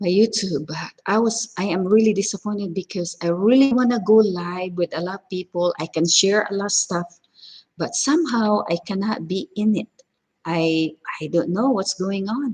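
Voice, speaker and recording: The voice is somewhat breathy, moving at a moderate pace with ordinary pitch variation. The sound is dry and close, with no echo. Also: woman, medium pitch for a woman. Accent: strong Filipino. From Philippines, Cebu. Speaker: cooking vlogger. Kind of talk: casual live stream chat. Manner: halting, many fillers.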